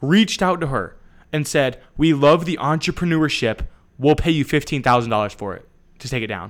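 A man with an American accent talks at a fairly quick pace in an ordinary speaking voice, fairly high in pitch. His intonation is lively, his loudness swings widely, and the recording is very clean with a silent background. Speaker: podcast co-host. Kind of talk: casual chat.

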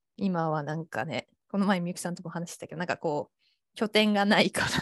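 Her fairly low pitch and fairly quick pace come through a dry, close sound with no echo, with big swings in loudness. This woman has an ordinary speaking voice. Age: 20s. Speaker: freelance designer. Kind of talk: casual chat.

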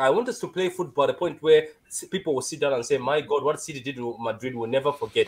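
Very wide pitch swings mark a man's speech in a Malawian accent. The recording is very clean, with a silent background. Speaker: caller.

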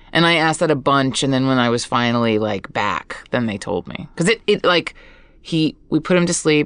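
The woman's pitch is very deep and low, with lively intonation. Her background is quiet. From Hawaii, Oahu. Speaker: guest. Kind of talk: casual chat. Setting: studio.

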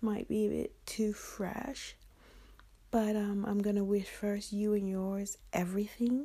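With a dark, mellow tone and a somewhat breathy quality, a woman talks fairly slowly at a medium pitch. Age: 50s. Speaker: podcaster and milliner. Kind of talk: solo podcast monologue.

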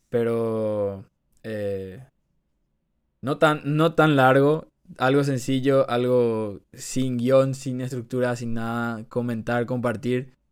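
The speech comes at a very slow pace with fairly even intonation, on a very clean recording with a silent background. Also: man, medium pitch for a man. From Paraguay. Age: 20s. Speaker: economics student, podcast co-host. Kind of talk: casual chat.

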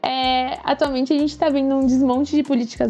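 Speaking at a moderate pace, a woman uses a high-pitched voice. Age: 20s. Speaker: climate activist. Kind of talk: interview. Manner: animated.

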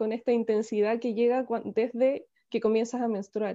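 Against a quiet background, a woman with a fairly high pitch and a dark, mellow tone speaks at a moderate pace in a monotone, flat intonation. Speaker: spiritual teacher and activist. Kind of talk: interview. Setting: video call.

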